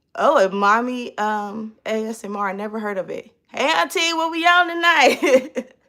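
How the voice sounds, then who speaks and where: Animated and bright with a sharp tone, a woman speaks at a high pitch. Her pitch swings very widely. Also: moderate pace, hardly any pauses, big swings in loudness. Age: 30s. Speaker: vlogger. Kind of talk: casual live stream chat.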